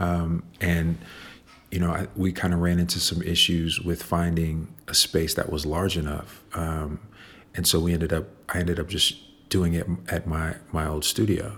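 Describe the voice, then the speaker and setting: A man with a Chicago accent speaks in a very deep, low voice. His intonation stays fairly even at a moderate pace. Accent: Chicago American. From Chicago, South Side. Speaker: visual artist. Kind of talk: interview. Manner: halting, many fillers and repetitions.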